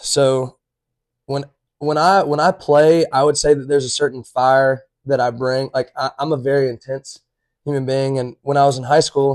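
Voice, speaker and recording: A man talks with an Alabama accent at a moderate pace. His intonation stays monotone and flat. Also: fairly high pitch for a man. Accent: US Southern (Alabama). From Alabama, Chelsea. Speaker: college baseball player. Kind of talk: casual chat. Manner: loud.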